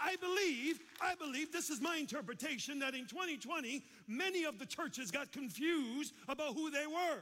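A man with an American accent speaks in a raised, projected voice at an extremely high pitch. His tone is bright and sharp, with ordinary pitch variation at a moderate pace. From Chicago, US. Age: 50s. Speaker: pastor. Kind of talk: sermon. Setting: church with congregation.

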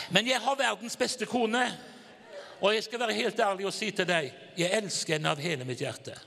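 With a raised, projected voice, a high-pitched man talks at a fairly quick pace in an animated tone with lively intonation. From Norway, Haugesund. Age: 60s. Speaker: evangelist preacher. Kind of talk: sermon.

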